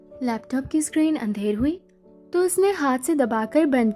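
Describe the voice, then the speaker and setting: Soft-spoken and high-pitched, a woman uses a calm, soothing tone with ordinary pitch variation. Music plays in the background. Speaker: audiobook narrator. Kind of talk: audiobook novel reading. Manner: soft, calm, soothing.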